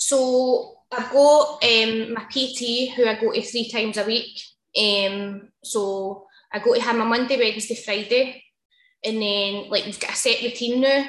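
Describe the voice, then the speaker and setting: With a Glaswegian accent, a woman talks at a fairly slow pace and fairly high pitch, and audible room echo surrounds her voice. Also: fairly even intonation. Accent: Glaswegian Scottish. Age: 30s. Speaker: hairdresser. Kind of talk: casual interview.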